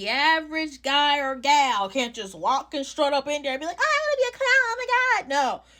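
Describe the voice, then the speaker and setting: On a very clean recording with a silent background, a woman with a New York accent speaks in a raised, projected voice, bright and sharp, animated, with very wide pitch swings. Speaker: social media creator, clown performer. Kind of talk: casual vlog commentary. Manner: animated, emphatic.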